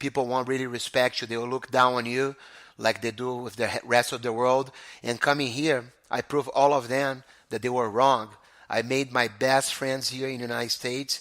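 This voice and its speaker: In a very clean recording with a silent background, a man with a Brazilian Portuguese accent speaks at a medium pitch and moderate pace with monotone, flat intonation. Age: 40s. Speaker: jiu-jitsu school owner. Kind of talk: interview. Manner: halting.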